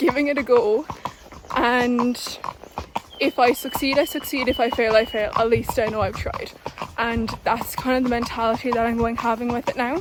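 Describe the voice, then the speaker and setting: Against noticeable background noise, a woman with a southern Irish accent speaks at a high pitch and moderate pace, her intonation fairly even and her pauses long and frequent. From southern Ireland. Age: 20s. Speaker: equestrian vlogger. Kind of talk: casual vlog.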